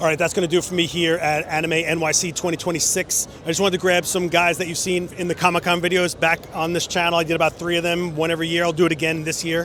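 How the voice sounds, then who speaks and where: Over noticeable background noise, a man with a high pitch talks at a very fast pace in a monotone, flat intonation, with hardly any pauses. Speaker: photography youtuber. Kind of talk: vlog outro. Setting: at a convention.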